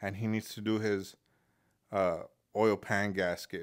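On a very clean recording with a silent background, a man with an ordinary speaking voice talks at a fairly slow pace and a fairly low pitch. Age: 30s. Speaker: mechanic and video host. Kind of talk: casual monologue. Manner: casual, rambling with fillers.

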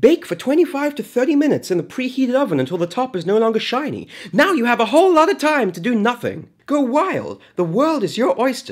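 Over music in the background, the speech runs at a fairly quick pace with hardly any pauses. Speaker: narrator. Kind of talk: comedic tutorial narration.

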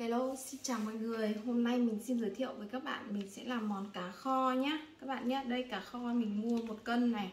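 A woman speaks at a fairly slow pace. The room echo is audible, with light background noise behind her. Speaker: home cook vlogger. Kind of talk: cooking tutorial. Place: home room. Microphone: phone near.

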